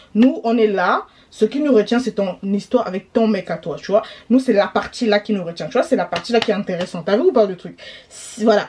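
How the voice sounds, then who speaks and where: Noticeable background noise sits behind a woman with a fairly high pitch and ordinary pitch variation. Her tone is animated, her pace fairly quick, and her loudness swings widely. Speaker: YouTuber commentator. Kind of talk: gossip commentary vlog. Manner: fast.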